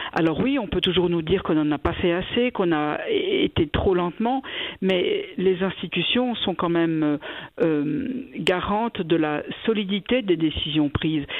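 A woman in an ordinary speaking voice talks at a fairly slow pace and a medium pitch, with lively intonation. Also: very even loudness. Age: 60s. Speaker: cantonal government minister. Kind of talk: radio interview.

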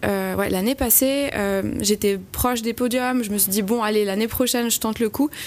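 A woman's fairly high-pitched voice at a moderate pace, with ordinary pitch variation. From French-speaking Switzerland, Valais Chablais. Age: 20s. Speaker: amateur trail runner, hospital worker. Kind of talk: radio interview. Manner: hesitant, with fillers and repetitions.

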